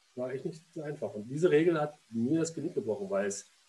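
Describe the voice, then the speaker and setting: A man's somewhat breathy voice, dark and mellow in tone, at a medium pitch with very wide pitch swings and a fairly quick pace. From Berlin. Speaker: former goalkeeper and goalkeeping coach. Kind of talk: casual interview. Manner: halting, with frequent repetitions and fillers.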